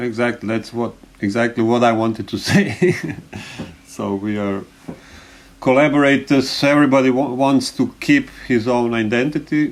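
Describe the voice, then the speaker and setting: Speaking with a non-native accent, a man talks at a moderate pace and medium pitch with ordinary pitch variation and long, frequent pauses. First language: not English. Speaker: animation festival director. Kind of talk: panel discussion. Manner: halting.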